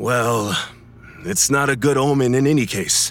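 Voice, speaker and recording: With music playing in the background, a man talks in a fairly high pitch. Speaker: voice actor as sailor. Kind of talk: audio drama dialogue.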